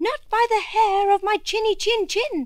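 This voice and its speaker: Putting on a character voice, a woman sounds squeaky at an extremely high pitch. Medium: read story.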